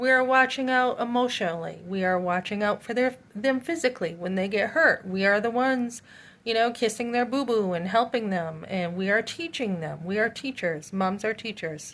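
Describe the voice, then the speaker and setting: On a very clean recording with a silent background, a woman with an unremarkable speaking voice talks at a moderate pace with a fairly high pitch and lively intonation. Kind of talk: casual monologue.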